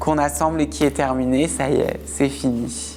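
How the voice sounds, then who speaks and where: This woman talks fairly slowly. Behind her, music is playing. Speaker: interviewee sharing personal story. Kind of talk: testimony. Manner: casual, conversational.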